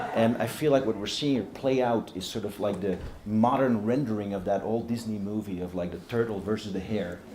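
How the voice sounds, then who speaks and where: Speaking at a fairly low pitch with fairly even intonation, a man leaves hardly any pauses. Noticeable background noise and audible room echo fill the recording. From Europe. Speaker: panel moderator, journalist. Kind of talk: panel moderation. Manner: slow.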